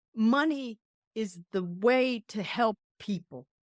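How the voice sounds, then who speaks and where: A woman with an American accent uses a normal speaking voice at a fairly high pitch, with ordinary pitch variation and a dry, close sound with no echo. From Colombia, then US East Coast. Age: 60s. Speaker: Air Force veteran. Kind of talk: podcast interview.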